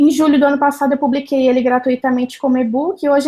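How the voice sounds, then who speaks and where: A woman with a strong Minas Gerais accent speaks high in pitch, her tone dark and mellow and her intonation fairly even. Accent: Minas Gerais (mineiro), strong, drawling. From Minas Gerais, Brazil. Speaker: journalist and church social media speaker. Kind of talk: interview.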